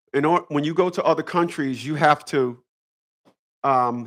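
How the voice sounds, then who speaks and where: A man with an American accent, recorded very cleanly against a silent background. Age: 50s. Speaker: YouTube live streamer. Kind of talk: casual live stream monologue. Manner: halting.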